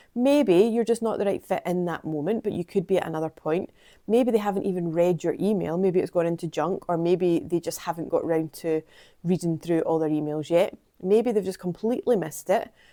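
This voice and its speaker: Speaking with a Scottish accent, a woman has a dark, mellow tone. Her pitch is fairly low and her pace fairly quick. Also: ordinary pitch variation, very clean recording, silent background. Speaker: PR consultant and vlogger. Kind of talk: vlog monologue.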